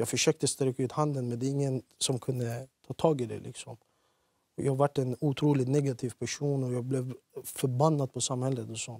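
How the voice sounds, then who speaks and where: A man speaks at a moderate pace in a dark, mellow tone with monotone, flat intonation. The sound is dry with no echo against a quiet background. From Iraqi Kurdistan, moved to Sweden at age 10. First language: Kurdish (speaking Swedish). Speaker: former offender, youth lecturer; talk show guest. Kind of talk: TV interview; interview answer. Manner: hesitant with fillers. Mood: serious, reflective. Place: studio. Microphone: lapel.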